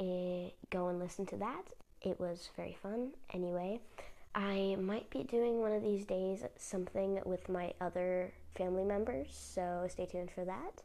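A woman with a medium pitch and a dark, mellow tone speaks at a fairly slow pace. Her pitch varies in an ordinary way. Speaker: podcast host. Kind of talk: casual update monologue. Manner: hesitant, many fillers.

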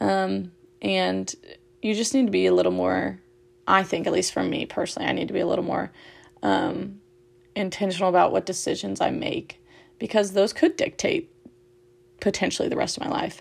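Her pace is fairly quick. Still, this woman leaves long, frequent pauses. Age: 20s. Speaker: podcast host and blogger. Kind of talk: casual solo podcast monologue. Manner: animated; frequent ums and fillers.

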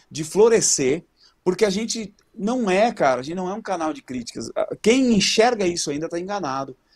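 Against a quiet background, a man with a high voice speaks at a moderate pace with lively intonation and big swings in loudness. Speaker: vocal coach. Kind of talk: casual chat. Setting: friend's studio, remote call.

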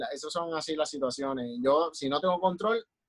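A plain, everyday voice from a man, fairly high in pitch, with ordinary pitch variation at a moderate pace, dry and close with no echo. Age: 30s. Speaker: children's clown. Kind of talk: casual chat.

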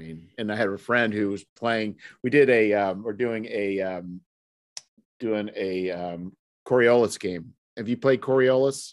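Against a quiet background, a man speaks at a fairly slow pace in a plain, everyday voice, fairly low in pitch with ordinary pitch variation. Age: 50s. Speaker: podcast host. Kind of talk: casual chat.

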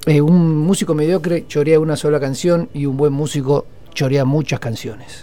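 A man's dark, mellow tone, fairly high in pitch, at a moderate pace. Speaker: radio host. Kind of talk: casual music radio talk.

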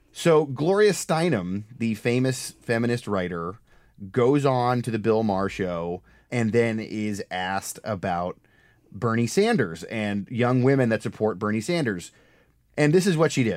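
An unremarkable speaking voice at a fairly slow pace with lively intonation, on a very clean recording with a silent background. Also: man, medium pitch for a man. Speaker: podcast host and political reporter. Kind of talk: casual political podcast chat. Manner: casual, joking, laughs often.

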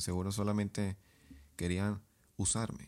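At a fairly quick pace, a man speaks with a fairly low pitch and a dark, mellow tone. The recording is very clean, the background silent. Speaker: podcast host and author. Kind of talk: casual advice monologue.

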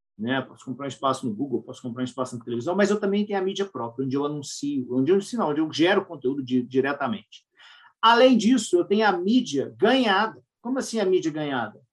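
Pitched fairly high, a man talks at a very fast pace. His pitch swings very widely. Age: 40s. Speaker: marketing professor and podcast co-host. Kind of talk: casual podcast chat.

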